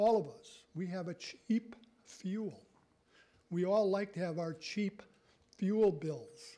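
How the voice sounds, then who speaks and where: A man's very slow, high-pitched speech in a dark, mellow tone, with ordinary pitch variation, big swings in loudness and long, frequent pauses. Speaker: resident speaking at public comment. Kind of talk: public comment at town council meeting. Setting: council chamber, public meeting. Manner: critical, forceful. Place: meeting room. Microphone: podium.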